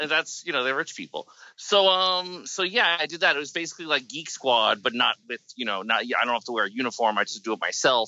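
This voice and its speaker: With an American accent, a man talks at a very fast pace with hardly any pauses and very wide pitch swings. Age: 40s. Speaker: film director. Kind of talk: casual chat. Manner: halting.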